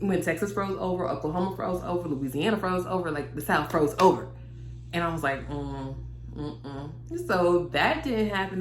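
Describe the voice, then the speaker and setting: A woman at a moderate pace, with audible room echo and music in the background. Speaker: lifestyle vlogger. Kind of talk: casual vlog monologue. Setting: daughter's bedroom. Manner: animated.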